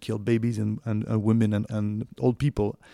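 Speaking fairly quickly in a French accent, the voice has a dark, mellow tone and a dry, close sound with no echo. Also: man. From France. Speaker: documentary producer and journalist. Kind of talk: interview. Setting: recorded at home. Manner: halting, many fillers.

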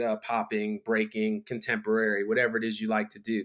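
A man at a moderate pace with lively intonation, in a very clean recording with a silent background. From Philadelphia and Miami, US East Coast. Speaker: director and choreographer. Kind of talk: casual interview.

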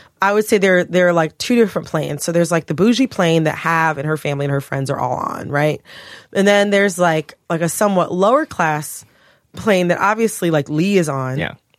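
With an American accent, a woman talks at a fairly quick pace in a fairly low voice, an unremarkable speaking voice with ordinary pitch variation, recorded very cleanly against a silent background. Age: 30s. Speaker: podcast co-host. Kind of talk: casual chat. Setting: studio.

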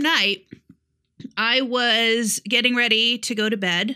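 This woman's voice has a bright, sharp tone and an American accent. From upstate New York. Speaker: podcast co-host. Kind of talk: casual chat. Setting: remote recording at home in Tennessee.

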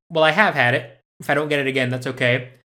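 A man with an American accent has a normal speaking voice, a fairly high pitch and fairly even intonation. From Spain (Madrid), international school. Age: 30s. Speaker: actor and filmmaker. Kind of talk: interview.

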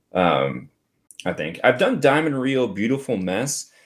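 Lively intonation marks an unremarkable speaking voice at a moderate rate. The background is silent, and the recording very clean. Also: man. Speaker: karaoke singer and podcast host. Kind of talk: casual chat.

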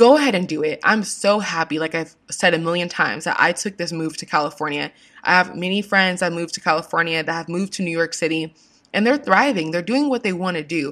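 In an American accent, a woman talks at a very fast pace in an animated tone, her pitch fairly low. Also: ordinary pitch variation. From US West Coast, Washington state. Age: 20s. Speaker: podcast host, advice giver. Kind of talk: casual monologue.

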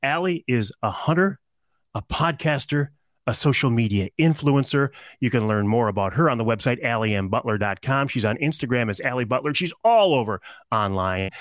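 Here is a man with an ordinary speaking voice and an American accent, at medium pitch with lively intonation and a moderate pace. The recording is very clean, with a silent background and a dry, close sound with no echo. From Michigan. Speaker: podcast host and broadcaster. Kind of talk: interview.

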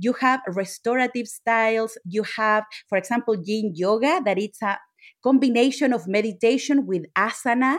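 Her fairly high voice moves at a moderate pace with ordinary pitch variation as the woman speaks. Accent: Chilean. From Chile. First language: Spanish. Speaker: yoga instructor. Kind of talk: interview.

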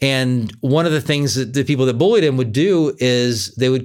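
A man with an American accent talks at a medium pitch and a moderate pace. His pitch varies in an ordinary way. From California. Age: 40s. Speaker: podcast host, life coach. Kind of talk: solo podcast monologue, self-help talk.

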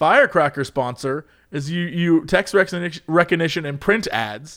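A man's normal speaking voice with a fairly high pitch, lively intonation and a moderate pace, on a very clean recording with a silent background. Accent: American. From US. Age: 30s. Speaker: podcast co-host. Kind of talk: casual chat.

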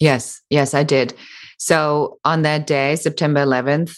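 In a German accent, a woman speaks at a moderate pace with a very deep, low pitch. Her intonation is fairly even, and the recording is very clean with a silent background. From Germany. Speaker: business coach and entrepreneur. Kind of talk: interview.

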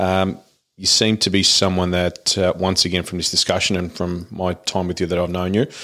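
A man with an Australian accent speaks in a very deep, low voice with fairly even intonation. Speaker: podcast host. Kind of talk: casual interview chat.

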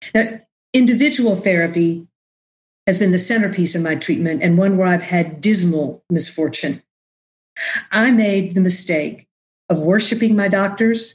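Somewhat breathy, a woman with an American accent speaks at a moderate pace with very even loudness and long, frequent pauses. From Texas (Austin, rural area). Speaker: podcast host, mental health peer advocate. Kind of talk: casual interview chat with personal testimony.

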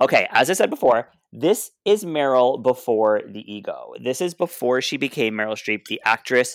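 With a Canadian accent and a normal speaking voice, the speaker talks at a moderate pace with lively intonation and hardly any pauses, on a very clean, dry, close recording with no echo and a silent background. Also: man, medium pitch for a man. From Canada, Ottawa (Alta Vista). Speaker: drag performer and podcast co-host. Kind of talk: casual chat.

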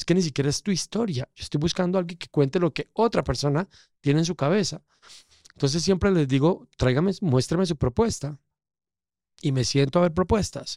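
A man speaks with a dark, mellow tone at a high pitch. The sound is dry and close, with no echo. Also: ordinary pitch variation, fairly quick pace. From Colombia, coffee region (Pereira). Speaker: casting director. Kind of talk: interview conversation.

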